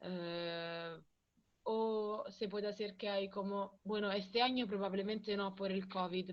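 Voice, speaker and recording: A woman with a strong Italian accent, a medium pitch, and fairly even intonation. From Italy, Rome. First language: Italian (speaking Spanish). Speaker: visiting guest speaker. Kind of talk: classroom Q&A. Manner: halting, with fillers and code-switching.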